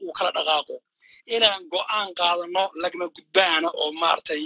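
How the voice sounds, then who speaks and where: The man's voice is dry with no echo, set against a quiet background, and he speaks at a fairly quick pace. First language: Somali (speaking Arabic). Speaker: caller. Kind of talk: call-in question. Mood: serious, firm. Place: hall. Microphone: handheld.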